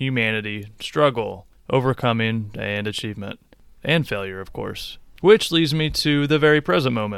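A man with an American accent speaks in an ordinary speaking voice at medium pitch and a moderate pace, on a very clean recording with a silent background. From US Midwest, Illinois. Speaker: podcast host. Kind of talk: scripted narration. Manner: formal.

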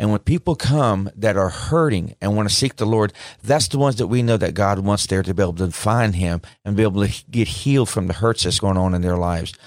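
A man with a Southern US accent talks at a fairly quick pace, his pitch fairly low with ordinary variation. The recording is very clean, with a silent background. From Mississippi. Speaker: paramedic and pastor. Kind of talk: studio interview. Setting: studio. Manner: halting.

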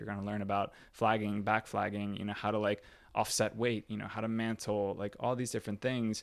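A man with a plain, everyday voice at a fairly quick pace, in a very clean recording with a silent background. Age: 30s. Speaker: exercise physiologist and mobility coach. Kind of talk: casual chat. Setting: home recording.

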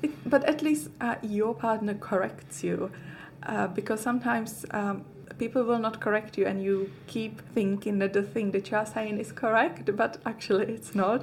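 A woman speaks at a moderate pace with lively intonation. Vocal fry runs through her voice. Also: fairly high pitch for a woman. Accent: Czech. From Czech Republic. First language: Czech. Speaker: fitness coach. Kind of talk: casual chat.

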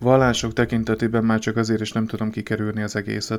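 This man's voice is fairly low. His intonation stays monotone and flat. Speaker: podcaster on emotional wellbeing. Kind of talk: solo podcast monologue. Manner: halting.

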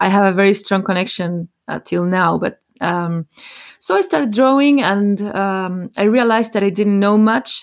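A woman talks at a moderate pace with a medium pitch and ordinary pitch variation. The recording is very clean, with a silent background. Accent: Spanish. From Chile. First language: Spanish. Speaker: botanical artist. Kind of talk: interview.

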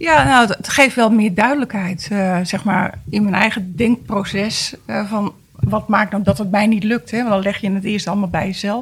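A woman speaks at a medium pitch with ordinary pitch variation, in a normal speaking voice. Her moderate pace runs with hardly any pauses. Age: 50s. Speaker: guest with a personal problem. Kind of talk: casual chat.

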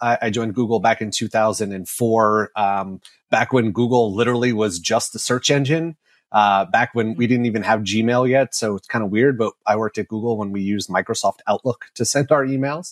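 A man with an American accent and a normal speaking voice, medium pitch, ordinary pitch variation and a fairly quick pace, in a very clean recording with a silent background and a dry, close sound with no echo. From New York. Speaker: marketing executive. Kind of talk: interview.

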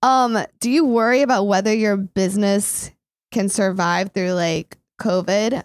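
In a very clean recording with a silent background and a dry, close sound with no echo, a woman with an American accent speaks at a fairly slow pace and medium pitch, her tone animated, her pitch variation ordinary and her loudness very even. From Indiana. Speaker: podcast host. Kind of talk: casual interview.

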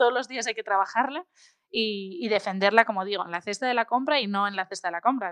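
A woman speaks in a normal speaking voice at a medium pitch, with ordinary pitch variation. The sound is dry and close with no echo. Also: quiet background. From Spain, Asturias (Oviedo). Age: 20s. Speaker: food blogger and consultant. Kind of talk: interview.

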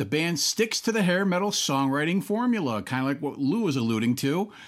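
Pitch swings very widely at a moderate pace. The recording is very clean, with a silent background. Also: man. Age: 50s. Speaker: rock podcast host. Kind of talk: casual chat.

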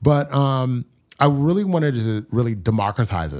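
A man's fairly quick delivery in a normal speaking voice, lively intonation, on a very clean recording with a silent background. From US, New York area (born in Nigeria). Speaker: startup founder. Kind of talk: interview.

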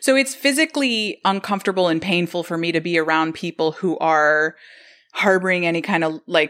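With a bright, sharp tone and lively intonation, a woman talks at a moderate pace in a medium pitch. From Colombia. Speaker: podcast production company founder. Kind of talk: casual interview. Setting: video call from her living room.

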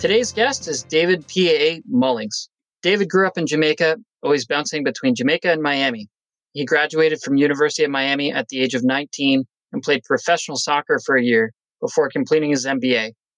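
With lively intonation, a man talks in an unremarkable speaking voice, recorded dry and close with no echo. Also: fairly high pitch for a man, fairly quick pace. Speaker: podcast host. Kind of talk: casual interview chat.

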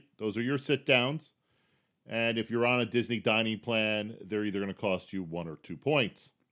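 An ordinary speaking voice from a man, medium in pitch and moderate in pace, on a very clean recording with a silent background. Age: 50s. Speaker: podcast host. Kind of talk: solo podcast tips monologue. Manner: casual, conversational.

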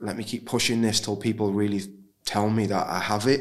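Speaking at a fairly quick pace, a man talks with a fairly low pitch.

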